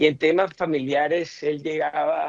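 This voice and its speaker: A man is speaking. His pace is fairly slow. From Colombian Caribbean coast. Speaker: politician, senator. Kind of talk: radio interview, personal remembrance.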